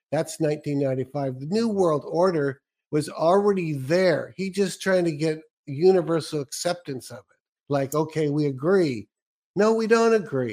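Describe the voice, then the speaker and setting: Using a plain, everyday voice, a man with an American accent and fairly high pitch talks at a fairly slow pace with lively intonation. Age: 60s. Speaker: radio host interviewer. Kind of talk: interview.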